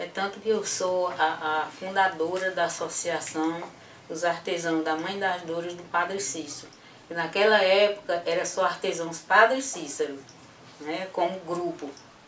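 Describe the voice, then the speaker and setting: Over noticeable background noise and audible room echo, a woman with a fairly low pitch talks at a fairly slow pace with fairly even intonation and big swings in loudness. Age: 70s. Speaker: association founder, artisan. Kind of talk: interview testimony. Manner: halting.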